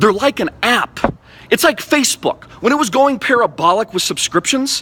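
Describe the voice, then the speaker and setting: His voice is raised and projected, animated in tone, with lively intonation. The man speaks at a fairly quick pace. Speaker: crypto enthusiast vlogger. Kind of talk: impassioned rant to camera. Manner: fast.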